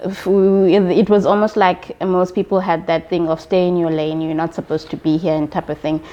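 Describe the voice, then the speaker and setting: A woman talks fairly quickly at a fairly low pitch, with hardly any pauses. Her intonation is monotone and flat over noticeable background noise. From South Africa, Eastern Cape. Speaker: accountant. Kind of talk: interview.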